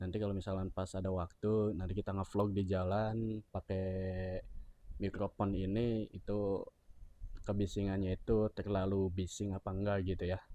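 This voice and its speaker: The voice has a dark, mellow tone with monotone, flat intonation at a moderate pace. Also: man, fairly low pitch for a man, quiet background. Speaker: motovlogger reviewing a product. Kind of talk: casual unboxing review. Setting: indoors, two rooms away from camera. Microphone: new clip-on mic on phone being tested.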